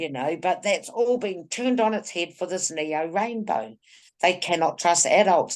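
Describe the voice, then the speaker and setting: With a New Zealand accent, the speaker uses lively intonation over a quiet background. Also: woman. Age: 60s. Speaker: women's group activist. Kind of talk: casual chat. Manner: animated.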